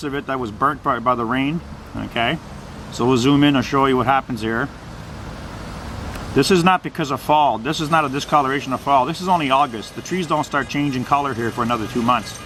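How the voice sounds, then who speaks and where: Noticeable background noise runs throughout. The speaker goes at a very fast pace. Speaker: amateur video blogger. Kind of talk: casual narrated walkthrough video. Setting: filming out a window, outdoors. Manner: loud.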